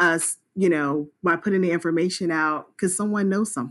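A woman with an American accent speaks in a plain, everyday voice at a fairly low pitch, fairly slowly and with ordinary pitch variation. The recording is very clean, with a silent background. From US South, South Carolina. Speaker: nonprofit co-founder, police officer. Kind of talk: interview.

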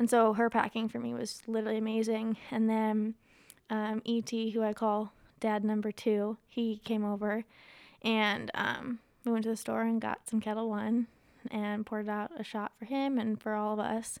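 A woman with an American accent, fairly high pitch, moderate pace and monotone, flat intonation. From Ohio. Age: 20s. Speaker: grieving guest sharing her story. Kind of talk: casual interview about grief.

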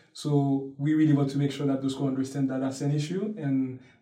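In a room with audible echo, a man speaks at a fairly quick pace in a fairly high pitch with monotone, flat intonation. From Haiti, Port-au-Prince. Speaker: university student. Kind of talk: interview. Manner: hesitant, with fillers.

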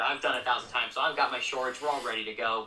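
Noticeable background noise surrounds a voice with an American accent. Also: man. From Colorado Springs, Colorado. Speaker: minor league baseball media relations coordinator. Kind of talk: casual interview chat.

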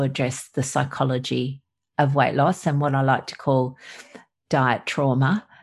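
With an Australian accent, the voice moves at a moderate pace over a quiet background. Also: woman. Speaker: doctor. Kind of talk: casual interview.

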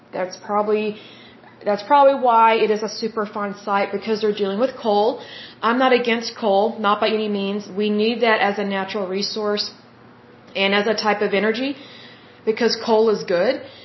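Woman with a slight Oklahoma accent, fairly high pitch, flat monotone intonation, moderate pace, noticeable background noise. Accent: slight Oklahoma twang. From Oklahoma, US. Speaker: podcast host. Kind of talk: solo podcast monologue, reading info. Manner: chatty, warm, informal.

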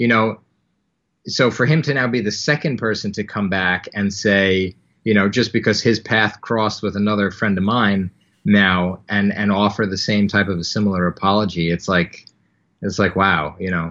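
At a moderate pace, a man with an American accent and a fairly low pitch uses fairly even intonation in an unremarkable speaking voice. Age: 30s. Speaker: anti-bullying nonprofit founder. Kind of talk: interview.

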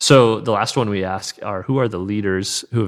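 A man with a plain, everyday voice, fairly low pitch and ordinary pitch variation, at a fairly quick pace, in a very clean recording with a silent background. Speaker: podcast host. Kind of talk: casual interview.

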